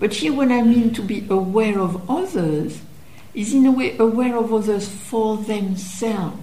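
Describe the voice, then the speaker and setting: A French accent amid noticeable background noise and audible room echo. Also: woman, fairly high pitch for a woman, ordinary pitch variation, moderate pace. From France. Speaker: meditation teacher. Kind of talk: dharma talk.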